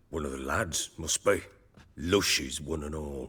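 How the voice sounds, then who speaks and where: A man puts on a character voice that is raspy and very deep, with fairly even intonation. He keeps a moderate pace. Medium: video game. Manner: gruff, defensive.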